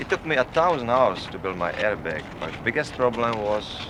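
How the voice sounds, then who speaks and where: Over noticeable background noise, a man talks at a fairly quick pace with a fairly low pitch and lively intonation. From Czechoslovakia. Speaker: stuntman. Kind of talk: interview. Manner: calm.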